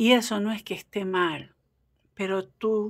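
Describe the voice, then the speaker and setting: The recording is very clean and the background silent. The speaker is a woman. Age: 40s. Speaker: tarot reader. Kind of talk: casual chat; tarot reading. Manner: animated.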